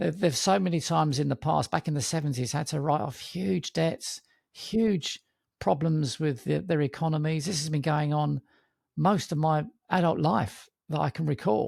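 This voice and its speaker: On a very clean recording with a silent background and a dry, close sound with no echo, a somewhat breathy man talks at a moderate pace with fairly high pitch and ordinary pitch variation. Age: 60s. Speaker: investment podcast host. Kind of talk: casual panel discussion.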